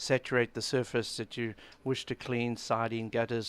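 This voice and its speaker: Recorded very cleanly against a silent background, dry and close with no echo, a man speaks at a moderate pace in a medium pitch with a plain, everyday voice. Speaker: cleaning product company owner. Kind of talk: radio interview answer.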